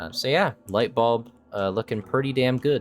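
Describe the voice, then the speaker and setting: Music plays in the background as a man talks. He keeps a moderate pace with ordinary pitch variation. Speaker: game mod developer and video creator. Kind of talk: unscripted walkthrough of patch notes. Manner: casual, hesitant with fillers.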